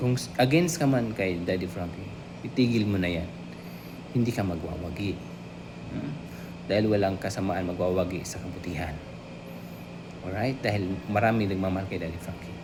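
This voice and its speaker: Over noticeable background noise and audible room echo, a soft-spoken man with a very deep, low voice talks at a fairly quick pace with lively intonation and long, frequent pauses. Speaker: YouTube vlogger. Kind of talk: reaction commentary. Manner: halting.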